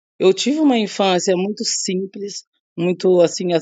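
A woman speaks in an ordinary speaking voice at medium pitch and a fairly slow pace. Her pitch variation is ordinary. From Brazil. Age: 30s. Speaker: singer and songwriter. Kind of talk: interview.

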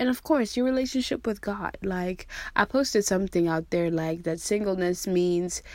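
A woman speaks at a moderate pace in a normal speaking voice. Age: 30s. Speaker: podcast host. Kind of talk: casual monologue. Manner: casual with frequent fillers.

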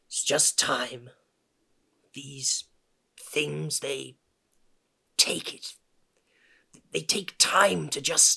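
A man's put-on character voice, raspy and medium in pitch, at a very slow pace with long, frequent pauses and big swings in loudness. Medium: audio drama. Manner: grumbling, rambling.

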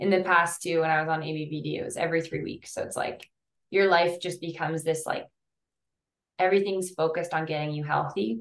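This woman has a normal speaking voice with a fairly low pitch. She talks at a fairly quick pace with fairly even intonation. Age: 20s. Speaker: cancer survivor and author. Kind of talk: interview.

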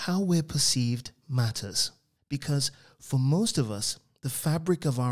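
With quiet all around, someone reads in an unforced voice.

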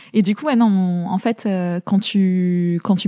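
With fairly even intonation, a woman's tone comes across dark and mellow. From France, Paris suburbs (born in Zaire). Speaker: fashion entrepreneur. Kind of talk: interview.

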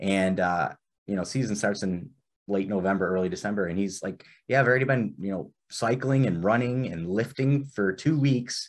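With an ordinary speaking voice, a man uses lively intonation at a moderate pace, the background quiet. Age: 30s. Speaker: podcast host and wrestling official. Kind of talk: casual chat.

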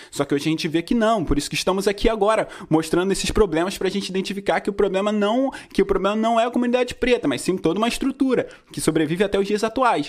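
A man talking at a very fast pace, high in pitch, with ordinary pitch variation. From Rio de Janeiro state, Brazil. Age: 20s. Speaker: independent musician and podcast host. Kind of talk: casual educational talk.

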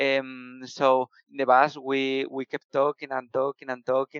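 A man at a medium pitch with a Spanish accent, speaking at a moderate pace, with a dry, close sound and no echo. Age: 20s. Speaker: software developer. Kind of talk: casual interview. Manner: halting.

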